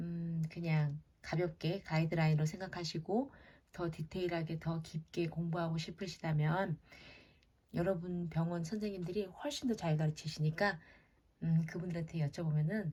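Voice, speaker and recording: Fairly low-pitched and somewhat breathy, a woman speaks with a dark, mellow tone and fairly even intonation at a moderate pace. The recording is very clean, with a silent background. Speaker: head nurse. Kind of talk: lecture. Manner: hesitant, filler-heavy.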